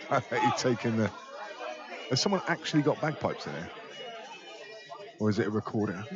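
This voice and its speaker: Crowd noise behind a man's medium-pitched voice, fairly quick in pace, with very wide pitch swings and long, frequent pauses. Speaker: pool match commentator. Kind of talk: live commentary. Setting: pool hall, live stream.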